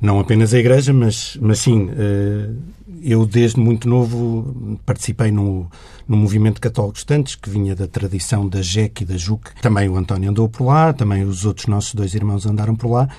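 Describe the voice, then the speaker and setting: In a very clean recording with a silent background, a man with a fairly low pitch talks at a moderate pace, his dark, mellow voice somewhat breathy and his intonation fairly even. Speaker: journalist. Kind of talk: interview conversation.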